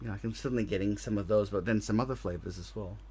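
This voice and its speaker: A man speaks in a strong Australian accent. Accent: very Australian. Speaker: podcast co-host. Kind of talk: casual chat.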